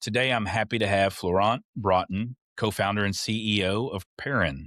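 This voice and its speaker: A man with a Texas accent speaks at a moderate pace in a fairly low pitch, with ordinary pitch variation. The recording is very clean with a silent background, and the sound is dry and close with no echo. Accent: Texas Southern. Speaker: podcast host. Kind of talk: podcast interview.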